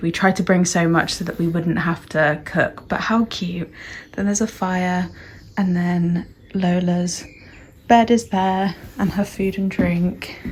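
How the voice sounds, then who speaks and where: Delivered at a fairly slow pace, the voice is somewhat breathy, with fairly even intonation. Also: woman. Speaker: booktuber and novelist. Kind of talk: casual vlog. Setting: outdoors and in a shepherd's hut.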